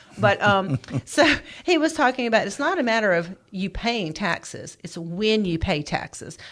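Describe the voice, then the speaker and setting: A woman speaks in a medium pitch. Her voice makes very wide pitch swings. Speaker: financial advisor, co-host. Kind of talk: radio show discussion. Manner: fast.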